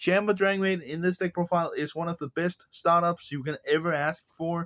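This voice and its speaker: Recorded with a dry, close sound and no echo, a man with a Danish accent talks at a moderate pace in a high pitch with fairly even intonation. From Denmark. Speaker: card game content creator. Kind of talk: deck profile tutorial.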